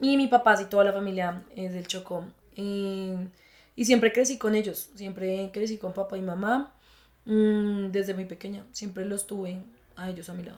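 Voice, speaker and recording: A woman's medium-pitched voice at a moderate pace, fairly even in intonation, with big swings in loudness. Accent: Bogotá. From Colombia, Bogotá. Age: 20s. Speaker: psychologist. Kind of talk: interview testimony.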